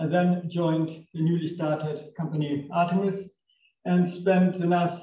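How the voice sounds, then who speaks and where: With a German accent, a man speaks at a high pitch in a dark, mellow tone. His pace is moderate, and audible room echo surrounds the voice. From northern Germany. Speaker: engineer, company technical director. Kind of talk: technical lecture. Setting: lecture room with audience.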